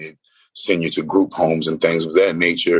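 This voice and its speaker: A man with a New Orleans accent at a fairly quick pace. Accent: New Orleans US Southern. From New Orleans, Louisiana. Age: 30s. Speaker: spiritual healer. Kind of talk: podcast interview. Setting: remote call from a roadside room.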